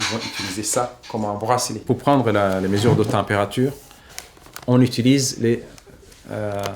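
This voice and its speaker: Fairly slow speech with fairly even intonation over noticeable background noise. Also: man. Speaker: humanitarian worker and journalist. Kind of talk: casual explanation.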